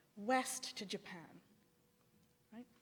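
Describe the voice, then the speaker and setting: A woman with a fairly high pitch and a somewhat breathy voice talks at a fairly slow pace. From Sri Lanka. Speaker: theologian. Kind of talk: academic lecture. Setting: symposium with audience. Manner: halting, with false starts.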